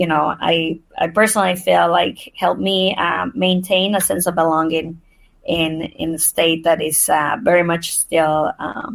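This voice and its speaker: With a Spanish accent, a woman talks at a fairly slow pace and a fairly low pitch. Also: ordinary pitch variation. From Mexico, moved to Nebraska at twelve. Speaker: nonprofit CEO. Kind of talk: podcast interview.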